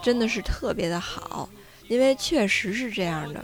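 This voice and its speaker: A woman speaks with lively intonation while music plays in the background. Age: 30s. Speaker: podcast host. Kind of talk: casual chat. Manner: unscripted, off-the-cuff.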